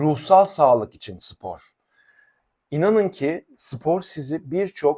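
This man's dark, mellow tone is heard on a very clean recording with a silent background. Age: 40s. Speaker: fitness coach. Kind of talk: YouTube monologue. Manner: animated.

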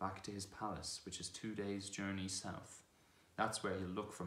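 The text is read aloud in a natural voice.

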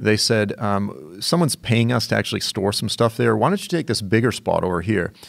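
A man's fairly low, quick voice with vocal fry against a quiet background. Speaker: teacher, show host. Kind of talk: casual podcast monologue. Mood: relaxed, upbeat. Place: studio. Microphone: studio mic.

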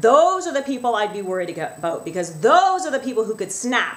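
Animated, high-pitched woman at a moderate pace with very wide pitch swings. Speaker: wellness vlogger. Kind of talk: angry rant. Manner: animated, emphatic, indignant; talkative, conversational, direct to viewers. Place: office. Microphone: webcam.

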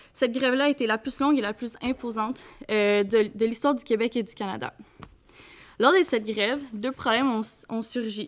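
A woman's high-pitched voice with a Quebec accent, at a moderate pace with ordinary pitch variation. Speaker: student activist. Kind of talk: talk to an audience. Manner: halting. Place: classroom. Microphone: podium.

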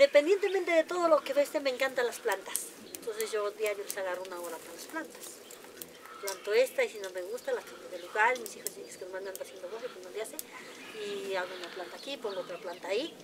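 Over noticeable background noise, a woman talks very fast at a fairly high pitch, with very wide pitch swings and big swings in loudness. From Mexico, Tlaxcala. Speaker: farmer and cooking contest winner. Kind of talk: interview. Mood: warm, cheerful storytelling. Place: farm. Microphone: lapel.

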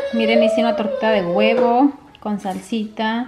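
Loud background noise fills the clip. A woman talks over it at a fairly slow pace. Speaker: vlogger. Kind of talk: casual vlog chat. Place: home room. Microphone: phone near.

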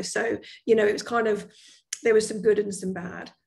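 Against a quiet background, a woman speaks fairly quickly in a somewhat breathy, fairly high-pitched voice. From Australia. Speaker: tech company founder and CEO; guest. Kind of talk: panel discussion. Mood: calm, reflective. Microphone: video call.

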